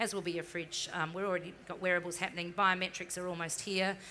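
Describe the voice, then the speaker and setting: A woman talks at a very fast pace in a monotone, flat intonation. Her voice is fairly low and bright and sharp in tone, with light background noise. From New Zealand. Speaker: marketing executive; panelist. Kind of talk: interview on stage. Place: stage.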